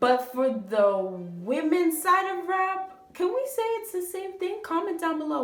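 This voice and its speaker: With hardly any pauses, the speaker delivers an animated tone with very wide pitch swings at a fairly slow pace, against noticeable background noise. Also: woman. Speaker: YouTube commentator. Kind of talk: video commentary.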